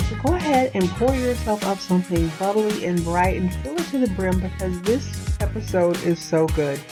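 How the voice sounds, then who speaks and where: Over music in the background, a woman speaks at a moderate pace in an upbeat, enthusiastic tone. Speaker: podcast host. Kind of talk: podcast intro.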